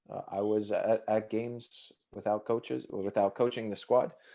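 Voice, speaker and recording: Over a quiet background, a man with an American accent speaks at medium pitch and a fairly slow pace. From New Jersey, US. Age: 30s. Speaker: football coach. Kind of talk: interview. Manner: halting, many fillers.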